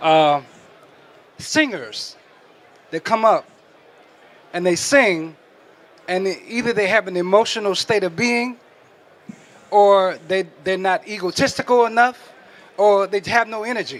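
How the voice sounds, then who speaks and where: A man with a high pitch speaks at a fairly slow pace, taking long, frequent pauses. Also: ordinary pitch variation. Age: 70s. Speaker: audience member asking a question. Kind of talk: audience question. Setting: stage with audience.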